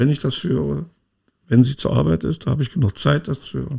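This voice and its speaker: A man's medium-pitched voice carries a dark, mellow tone and vocal fry. His pitch swings very widely. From East Germany. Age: 60s. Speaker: podcast co-host. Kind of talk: casual chat.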